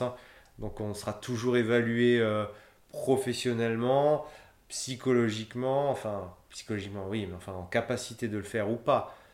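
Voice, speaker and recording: A man at medium pitch, moderate pace, fairly even intonation. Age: 30s. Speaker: humanitarian logistician. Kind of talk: interview. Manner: hesitant, many fillers and repetitions.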